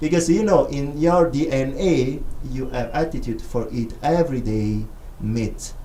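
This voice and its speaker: A man's lively intonation with an Italian accent, at a moderate pace, with audible room echo. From Italy, Rome. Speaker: filmmaker and visiting scholar. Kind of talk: radio interview. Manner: halting, non-native phrasing.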